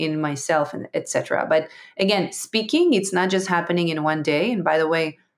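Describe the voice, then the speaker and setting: A woman with an Israeli accent speaks at a fairly low pitch. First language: Hebrew. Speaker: entrepreneur and public speaker. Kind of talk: interview conversation. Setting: online audio room. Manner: halting.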